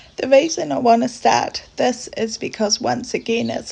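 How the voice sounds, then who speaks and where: The voice is quiet and moves at a fairly slow pace. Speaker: cross-stitch vlogger. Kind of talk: casual craft update talk.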